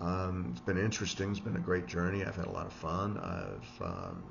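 A man speaks in a very deep, low pitch with fairly even intonation and a somewhat breathy quality. His moderate pace comes over noticeable background noise. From US Midwest, Chicago area (Evanston). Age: 60s. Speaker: vlogger, investment professional and amateur swimmer. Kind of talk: casual vlog monologue. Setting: solo recording to camera. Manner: halting, many fillers and repetitions. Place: home room. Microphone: webcam.

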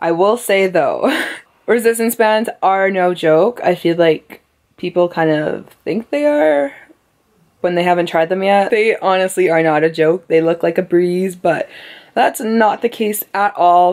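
The voice moves at a fairly slow pace with very even loudness and ordinary pitch variation over a quiet background. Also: woman. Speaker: fitness vlogger. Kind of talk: casual vlog chat. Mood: relaxed, playful. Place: home room. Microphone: phone near.

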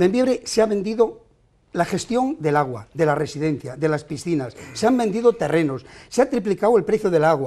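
A man's high-pitched voice with a dark, mellow tone and very wide pitch swings, at a moderate pace over a quiet background. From not from the town, from elsewhere in Spain. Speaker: mayoral candidate; candidate. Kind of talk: heated debate. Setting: TV studio. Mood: combative, accusing. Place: studio. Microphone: lapel.

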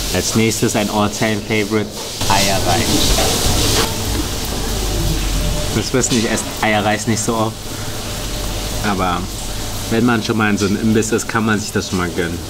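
A man speaks at a moderate pace, leaving long, frequent pauses, as music plays in the background. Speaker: food vlogger. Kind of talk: casual vlog chat. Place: cafe.

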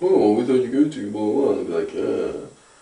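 Audible room echo surrounds a man's voice. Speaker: vlogger. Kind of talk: casual vlog chat. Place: home room. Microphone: camera far.

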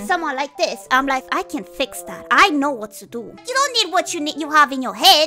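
Faint music plays in the background as the speaker talks at a fairly quick pace. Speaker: vtuber. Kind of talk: casual live stream talk. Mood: playful, amused, flustered. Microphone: studio mic.

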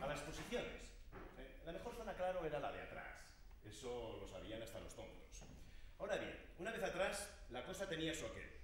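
A fairly quick-paced man amid light background noise and audible room echo. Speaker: stage actor. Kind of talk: theatrical dialogue monologue. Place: stage. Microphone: camera far.

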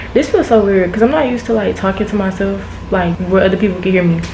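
A woman speaks with fairly even intonation. The room echo is audible, and there is light background noise. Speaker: vlogger. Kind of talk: casual vlog chat. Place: home room. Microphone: phone near.

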